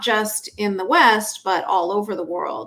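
A woman with an unremarkable speaking voice talks at a fairly slow pace in a Canadian accent. Her pitch is fairly high. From Canada. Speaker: author and activist. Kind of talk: interview.

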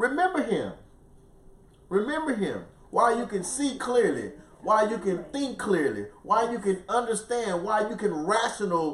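Noticeable background noise and audible room echo surround the recording. A man talks at a fairly slow pace with lively intonation. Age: 50s. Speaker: pastor. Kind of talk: bible study teaching. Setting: live broadcast.

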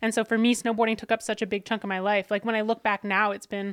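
A woman with a fairly high voice talks at a very fast pace. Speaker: former snowboarder, CrossFit athlete and content creator. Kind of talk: casual interview. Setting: podcast set in a gym.

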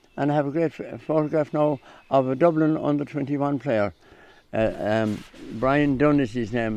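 Speaking in a Clare accent, a man uses a medium pitch with ordinary variation. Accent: Clare Irish. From Ireland, County Clare. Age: 80s+. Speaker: hurley maker. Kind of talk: radio interview. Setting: outdoors.

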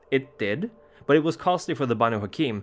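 With music in the background, a man delivers his lines in a dramatic tone at a fairly quick pace. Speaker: lore narrator. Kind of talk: scripted horror lore narration, storytelling. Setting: video channel. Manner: measured, formal, dramatic.

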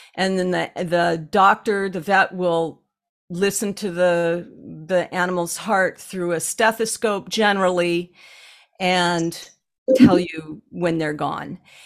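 A woman speaks very slowly in a fairly low voice with fairly even intonation. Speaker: animal communicator and healer. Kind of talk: casual podcast conversation.

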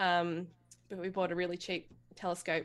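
The woman has a fairly low voice and an Australian accent. She talks at a moderate pace against a quiet background. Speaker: amateur astronomer. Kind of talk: casual chat.

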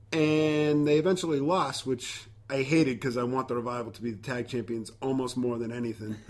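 A man's ordinary speaking voice at medium pitch, fairly quick, with hardly any pauses and ordinary pitch variation. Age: 30s. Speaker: wrestling podcast host. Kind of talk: casual chat.

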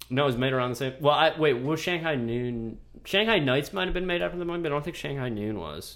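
Barely pausing, a man races along at a very fast pace with a fairly high pitch, lively intonation and big swings in loudness. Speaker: podcast host. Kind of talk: casual chat.

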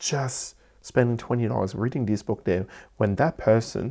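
A man with a strong Cantonese accent and a medium pitch talks at a moderate pace with ordinary pitch variation, recorded very cleanly with a silent background. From Hong Kong. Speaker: entrepreneur and business podcaster. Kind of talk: solo podcast talk, motivational. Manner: halting, with frequent fillers and restarts.

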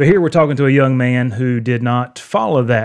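A man with an American accent and an unremarkable speaking voice, medium pitch, fairly even intonation and a fairly quick pace, against a quiet background. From North Carolina (near Raleigh). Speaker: podcast host, campus ministry leader. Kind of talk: interview conversation.

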